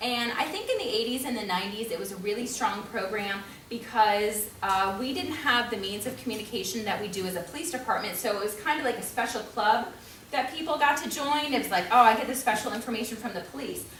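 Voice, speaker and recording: A woman with an American accent talks at a very fast pace and a fairly high pitch with ordinary pitch variation, amid noticeable background noise and audible room echo. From New York. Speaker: police community outreach officer. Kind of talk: community forum presentation. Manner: casual with many fillers.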